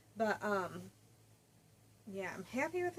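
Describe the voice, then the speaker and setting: A quiet woman mumbles. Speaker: crafting podcaster. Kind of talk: casual chat. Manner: mumbling.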